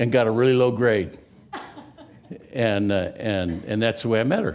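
A man speaks with an American accent at a medium pitch. His pace is fairly slow. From California. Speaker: pastor. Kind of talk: sermon. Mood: humorous, relaxed. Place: church.

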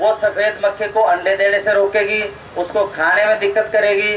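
With audible room echo and light background noise, a man talks fairly slowly at a high pitch. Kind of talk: public talk to farmers. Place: tent. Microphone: podium.

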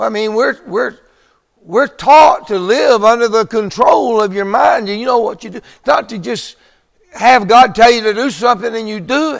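With a quiet background, a man talks at a moderate pace in a high pitch. His pitch varies in an ordinary way, while his loudness swings widely. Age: 70s. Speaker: preacher. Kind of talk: sermon. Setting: church. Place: church.

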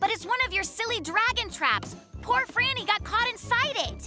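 A cartoonish character voice, bright and sharp, moves at a moderate pace with lively intonation. Faint music sits in the background.

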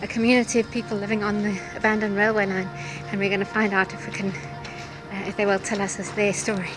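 A woman at a fairly quick pace, with clear music in the background. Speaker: travel narrator. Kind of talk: casual vlog chat. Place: open country. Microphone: phone near.

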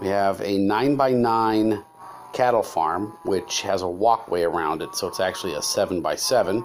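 Over music in the background, a man with a fairly low pitch speaks at a fairly slow pace with lively intonation. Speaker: game narrator. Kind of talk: casual gameplay commentary.

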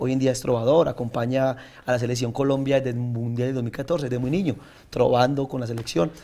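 Speaking at a fairly quick pace, the man has a dark, mellow tone and fairly even intonation. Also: medium pitch for a man. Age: 30s. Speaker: senator and trova singer; senator. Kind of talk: interview. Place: studio. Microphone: lapel.

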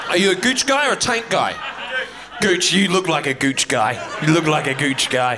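Against noticeable background noise, a man with a high pitch and very wide pitch swings talks at a moderate pace with very even loudness and long, frequent pauses. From New Zealand. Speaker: comedian. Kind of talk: stand-up comedy. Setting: stage with audience. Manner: animated; crude, bantering with audience. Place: stage. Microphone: handheld.

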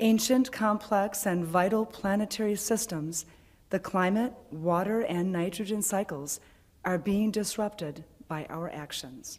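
Fairly slow speech from a woman, with ordinary pitch variation. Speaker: worship leader; speaker. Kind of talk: reading aloud. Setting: church. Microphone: podium.

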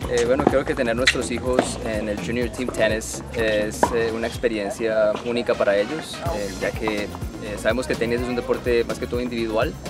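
Loud music plays behind a man who talks at a moderate pace, the sound dry with no echo. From Colombia. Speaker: tennis parent and recreational player. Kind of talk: interview answer. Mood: friendly, relaxed. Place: stadium.

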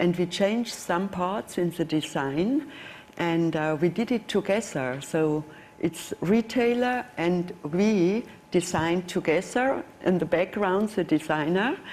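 A woman with a German accent speaks over light background noise. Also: fairly low pitch for a woman, fairly slow pace. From Germany. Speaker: watch brand executive; panelist. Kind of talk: panel discussion. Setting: stage with audience. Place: hall.

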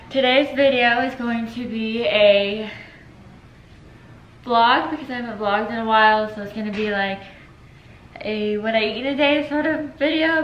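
Woman at a moderate pace with ordinary pitch variation, audible room echo and light background noise. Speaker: vlogger. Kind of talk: casual vlog chat. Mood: relaxed, chatty. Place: kitchen. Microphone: camera far.

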